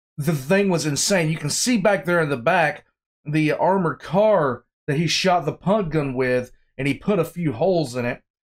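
The background is quiet. A man talks at a moderate pace with ordinary pitch variation. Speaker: reaction video host. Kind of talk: casual reaction commentary. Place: home room.

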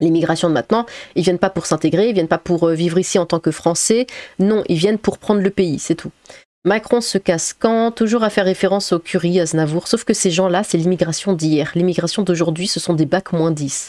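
Dark, mellow tone from a woman at fairly low pitch, fairly quick pace and ordinary pitch variation, with a dry, close sound and no echo. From Strasbourg, Alsace, France. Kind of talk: casual commentary reacting to news articles. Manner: casual, with hesitations and laughter.

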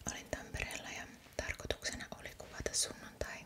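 Whispering, the woman keeps to a moderate pace. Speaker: ASMR creator. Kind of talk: ASMR shopping haul. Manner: whispered. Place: home room.

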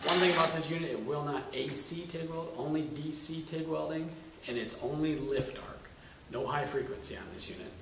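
Audible room echo and noticeable background noise surround a man speaking at a moderate pace with fairly even intonation. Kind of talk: product review explanation. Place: workshop.

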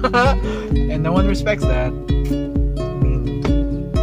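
A man talks while loud music plays in the background. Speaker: vlogger. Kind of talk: casual rant in the car. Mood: annoyed ranting. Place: car. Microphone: phone near.

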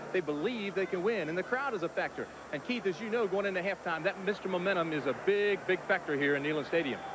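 Speaking very fast with hardly any pauses, a man with a high pitch and ordinary pitch variation sounds dry with no echo, against noticeable background noise. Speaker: sideline reporter. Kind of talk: live sports commentary, sideline report. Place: stadium. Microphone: handheld.

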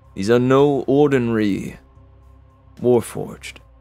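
Faint music plays behind a man who speaks very slowly in a put-on character voice at a medium pitch. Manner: measured, secretive, cold.

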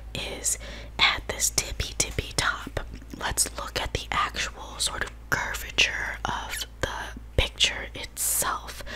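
Soft-spoken whispering at a very slow pace over light background noise. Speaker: math tutor. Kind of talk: tutorial. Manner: soft whispered explanation.

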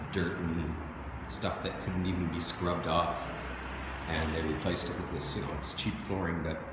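A man talks at a moderate pace. Loud background noise and audible room echo fill the recording. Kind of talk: casual walkthrough narration. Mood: pleased, relaxed. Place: empty room. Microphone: phone near.

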